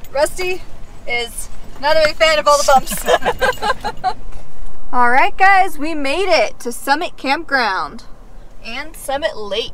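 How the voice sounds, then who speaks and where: In a room with audible echo and noticeable background noise, a woman talks at a very slow pace with a high pitch, very wide pitch swings and long, frequent pauses. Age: 20s. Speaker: travel nurse assistant and vlogger. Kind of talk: casual chat.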